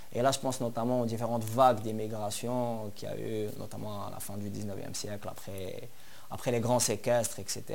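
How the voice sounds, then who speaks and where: With audible room echo, a man speaks at a medium pitch and a moderate pace. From Algeria, Algiers. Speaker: journalist and poet, activist. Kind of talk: interview.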